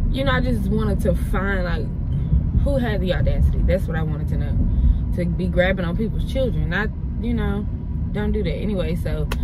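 A woman's voice, dry with no echo, over loud background noise. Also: fairly quick pace. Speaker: vlogger. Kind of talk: casual vlog chat, storytelling. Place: car.

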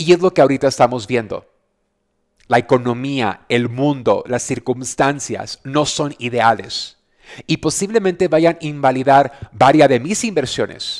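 Against a quiet background, a man with a fairly high pitch and an animated tone talks at a fairly slow pace with ordinary pitch variation. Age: 40s. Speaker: radio host and business coach; radio host, business coach. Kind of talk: casual motivational talk. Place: home room. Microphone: headset.

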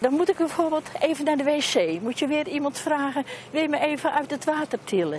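With lively intonation and a moderate pace, a woman speaks in a dry sound with no echo over light background noise. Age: 80s+. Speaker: elderly pool visitor. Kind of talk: interview answer. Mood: disappointed, mildly indignant.

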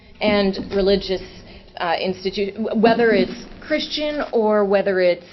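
Noticeable background noise runs behind a woman with a medium pitch. She speaks at a fairly slow pace with ordinary pitch variation. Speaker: public commenter at council meeting. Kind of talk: public comment.

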